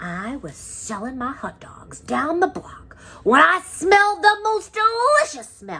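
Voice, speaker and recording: A woman puts on a character voice, pitched extremely high and delivered fairly slowly. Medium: read story.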